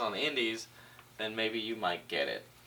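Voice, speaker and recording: An American accent over noticeable background noise. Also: man. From California, Orange County. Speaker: pro wrestler. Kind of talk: interview.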